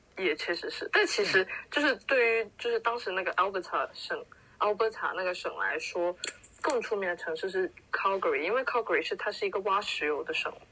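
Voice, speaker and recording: The woman talks fairly quickly, her words set against noticeable background noise. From Guangdong (Foshan). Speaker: podcast co-host. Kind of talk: casual chat.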